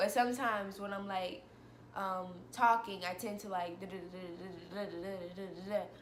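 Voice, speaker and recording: Speaking at a fairly quick pace with fairly even intonation, a woman leaves long, frequent pauses and swings widely in loudness amid audible room echo and noticeable background noise. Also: medium pitch for a woman. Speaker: vlogger. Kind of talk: personal vlog monologue. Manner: fast.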